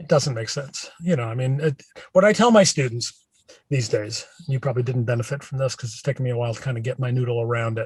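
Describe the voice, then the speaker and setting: This man talks at a very fast pace, and his voice is somewhat breathy. His pitch varies in an ordinary way, while his loudness swings widely. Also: medium pitch for a man. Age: 60s. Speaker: professor of branding. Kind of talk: casual interview. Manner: many fillers, conversational.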